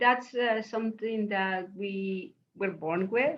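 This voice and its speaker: Very slow speech with an Eastern European accent. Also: woman. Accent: Eastern European-sounding accent in English. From Mexico City, Mexico. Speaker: professor and memoirist. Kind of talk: interview conversation. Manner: animated.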